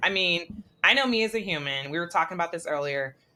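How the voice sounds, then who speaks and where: A woman's voice amid noticeable background noise. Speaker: podcast host. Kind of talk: interview. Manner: fast.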